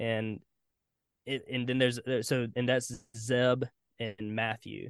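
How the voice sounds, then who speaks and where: The speaker has a Southern US accent and monotone, flat intonation, recorded with a dry, close sound and no echo. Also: man. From US South, South Carolina. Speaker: singer-songwriter and producer. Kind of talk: casual interview.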